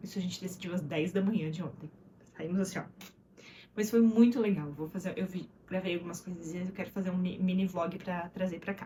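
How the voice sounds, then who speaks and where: A woman speaks at a fairly quick clip in a dark, mellow tone that is somewhat breathy, her intonation fairly even. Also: medium pitch for a woman. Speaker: vlogger and mother. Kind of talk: casual vlog monologue. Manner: fast; words slurring together.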